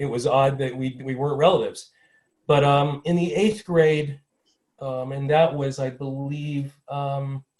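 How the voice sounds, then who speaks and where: A man with an American accent speaks at a fairly high pitch, somewhat breathy, with fairly even intonation. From US Midwest, small-town Ohio. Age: 60s. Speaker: panelist. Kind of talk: personal testimony at a panel. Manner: fast.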